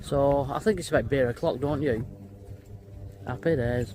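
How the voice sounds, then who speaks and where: A man's fairly high, somewhat breathy voice, moderately paced. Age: 50s. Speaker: vlogger. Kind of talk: casual vlog chat. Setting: in a car and at a campsite. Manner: animated.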